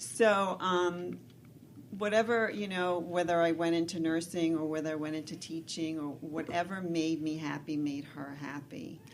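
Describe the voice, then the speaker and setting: The speech moves at a moderate pace with fairly even intonation, and room echo is audible. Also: woman, fairly low pitch for a woman. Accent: American. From New York City. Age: 60s. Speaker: nurse and weight loss coach. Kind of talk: interview on radio show.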